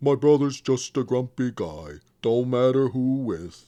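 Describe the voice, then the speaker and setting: Using a put-on character voice, a man speaks at a fairly slow pace with a medium pitch and lively intonation. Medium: read story. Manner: gentle, plain-spoken.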